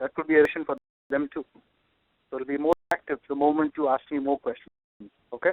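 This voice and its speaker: This man talks very fast in a fairly high pitch, his intonation monotone and flat. Long pauses come often. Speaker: business analysis trainer. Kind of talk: online class Q&A.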